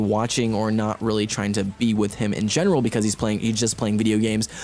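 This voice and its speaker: Noticeable noise fills the background while this man rattles along very fast. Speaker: gaming commentator. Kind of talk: gameplay commentary, advice talk. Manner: casual, hesitant.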